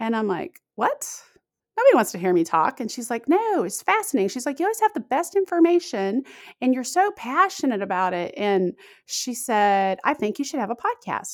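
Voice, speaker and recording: On a very clean recording with a silent background and a dry, close sound with no echo, a woman with a high pitch speaks at a moderate pace with very wide pitch swings. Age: 40s. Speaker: podcaster and intermittent fasting advocate. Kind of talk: interview.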